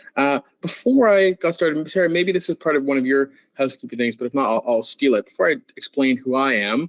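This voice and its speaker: A man at a very fast pace, fairly high in pitch, lively in intonation, in a dry, close sound with no echo. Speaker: dog trainer. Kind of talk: webinar presentation.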